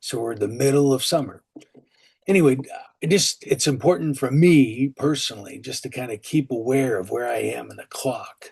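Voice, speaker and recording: At a moderate pace, a man speaks at medium pitch in a somewhat breathy voice with ordinary pitch variation and big swings in loudness. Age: 60s. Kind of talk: sermon. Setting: online call. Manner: casual, conversational.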